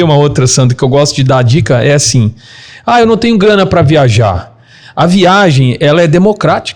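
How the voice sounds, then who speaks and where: A man with an unremarkable speaking voice, lively intonation, very even loudness and a fairly quick pace. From Minas Gerais, Brazil. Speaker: travel business owner. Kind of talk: casual interview chat.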